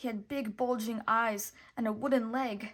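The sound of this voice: Fairly even intonation marks the delivery. It comes in an unforced reading voice.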